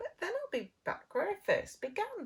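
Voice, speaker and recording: A woman puts on a squeaky character voice at an extremely high pitch. Her pace is moderate. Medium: read story. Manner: fretful, exclamatory.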